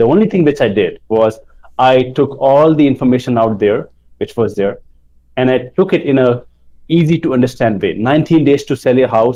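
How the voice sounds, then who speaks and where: A man's dark, mellow voice at a medium pitch, with ordinary pitch variation and a fairly quick pace. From India. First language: not English. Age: 20s. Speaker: book publishing entrepreneur. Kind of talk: interview.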